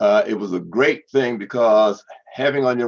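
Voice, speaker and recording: A man's voice is heard with a dry, close sound with no echo. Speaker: public relations consultant and podcast host. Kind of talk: presentation to professional group. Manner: fast; halting with repetitions.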